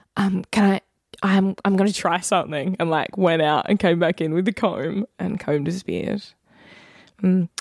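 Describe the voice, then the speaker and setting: Ordinary pitch variation runs through this woman's speech in an Australian accent. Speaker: podcast co-host. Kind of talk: casual chat.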